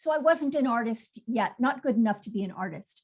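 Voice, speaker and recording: Her pitch fairly high, a woman speaks with very wide pitch swings. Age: 60s. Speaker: textile artist. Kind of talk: artist presentation on video call.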